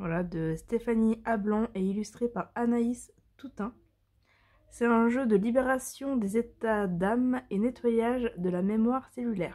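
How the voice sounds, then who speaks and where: A woman speaks at a fairly slow pace in a dark, mellow tone with ordinary pitch variation. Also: fairly high pitch for a woman. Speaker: tarot and oracle card reader. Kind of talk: product presentation. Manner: hesitant, many fillers.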